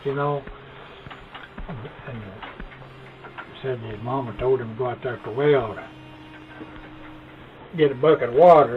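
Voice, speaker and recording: A man speaks at a medium pitch and a moderate pace, his loudness swinging widely. Long, frequent pauses break up his ordinary pitch variation, with noticeable background noise behind him. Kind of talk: storytelling.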